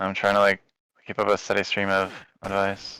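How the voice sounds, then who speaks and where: In a very clean recording with a silent background, a man talks at a moderate pace in a fairly low pitch, his tone bright and sharp and his intonation flat and monotone. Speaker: streamer. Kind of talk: casual chat. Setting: live stream.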